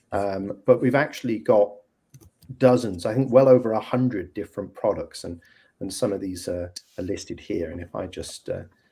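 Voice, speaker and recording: With a British accent, a man speaks in a dark, mellow tone at a fairly low pitch, using ordinary pitch variation, a moderate pace and big swings in loudness. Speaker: software company representative. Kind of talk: video call presentation. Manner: hesitant, many fillers.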